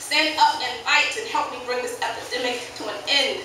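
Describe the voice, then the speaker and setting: Over noticeable background noise, a woman projects a raised voice with very wide pitch swings. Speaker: slam poet. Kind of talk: slam poetry performance. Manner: impassioned, forceful.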